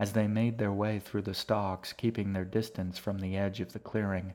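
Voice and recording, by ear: The recording captures a natural voice reading aloud.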